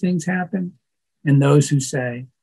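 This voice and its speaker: Somewhat breathy man at a fairly slow pace, ordinary pitch variation, quiet background. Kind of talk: formal ceremony address. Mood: warm, proud. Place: office. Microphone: webcam.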